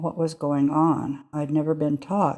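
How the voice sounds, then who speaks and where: At a fairly slow pace, a woman with a Canadian accent speaks in a dark, mellow tone. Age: 80s+. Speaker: churchgoer sharing life story. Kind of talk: testimony.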